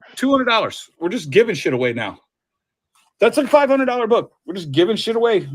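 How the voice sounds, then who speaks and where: The voice is loud and animated, with very wide pitch swings. It moves at a very fast pace. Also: man, high pitch for a man. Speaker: comic book seller. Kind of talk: casual chat. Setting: live stream.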